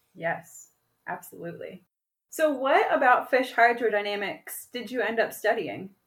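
A woman with a normal speaking voice talks at a fairly high pitch and a moderate pace. Her intonation is lively. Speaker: podcast host. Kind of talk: casual interview. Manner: upbeat, playful.

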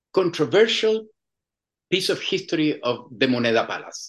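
With a Chilean accent, this man's fairly high voice swings very widely in pitch. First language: Spanish. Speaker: musician and filmmaker. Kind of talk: interview. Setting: phone or video call from Chile. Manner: halting.

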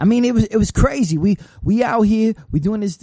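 Here a man's dark, mellow tone moves with ordinary pitch variation. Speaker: internet radio host. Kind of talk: casual interview chat. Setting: radio studio.

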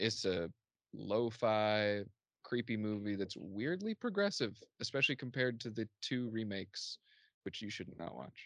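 Speaking at a moderate pace with an American accent, a man with a fairly low pitch shows ordinary pitch variation. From US Midwest, southern Indiana. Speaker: movie podcaster and color specialist. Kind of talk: casual chat. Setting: video call.

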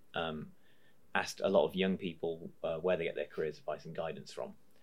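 Talking at a very fast pace, a man has a British accent. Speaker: podcast host. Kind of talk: casual interview.

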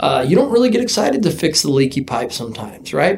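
A man talking at a very fast pace, with noticeable background noise. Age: 30s. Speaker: sunglasses company founder and former rodeo team roper. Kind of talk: casual chat.

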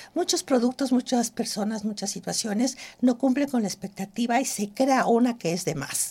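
Her voice is dark and mellow yet fairly high, with lively intonation. The woman keeps a moderate pace. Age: 60s. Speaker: cosmetic trichologist and entrepreneur. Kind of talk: interview. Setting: studio.

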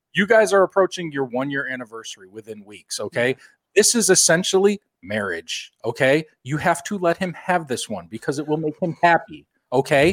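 A man with a normal speaking voice, fairly high in pitch and lively in intonation, speaks at a fairly quick pace. The recording is very clean, with a silent background and a dry, close sound with no echo. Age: 30s. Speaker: podcast host. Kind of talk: casual chat.

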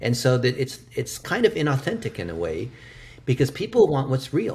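With an American accent, this voice has vocal fry and lively intonation at a moderate pace. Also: man. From United States. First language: Chinese. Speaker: digital marketing expert. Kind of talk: interview. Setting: remote call.

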